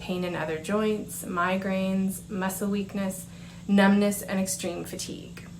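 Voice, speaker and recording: The speaker has a Canadian accent and talks at a moderate pace. There is audible room echo and noticeable background noise. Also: woman. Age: 40s. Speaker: patient speaker. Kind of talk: prepared conference presentation. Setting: conference presentation. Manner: formal.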